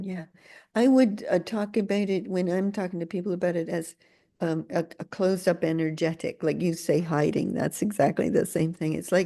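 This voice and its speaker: A woman talks at a moderate pace in a fairly low voice with a dark, mellow tone. Her pitch varies in an ordinary way, and the background is quiet. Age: 70s. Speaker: podcast host. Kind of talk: casual chat. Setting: video call.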